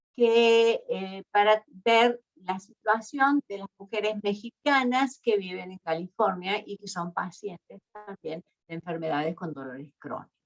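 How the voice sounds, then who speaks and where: A woman with an Argentine accent speaks at a very slow pace and medium pitch, her intonation lively. The sound is dry and close, with no echo. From Argentina. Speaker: university researcher. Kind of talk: lecture. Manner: hesitant, many fillers.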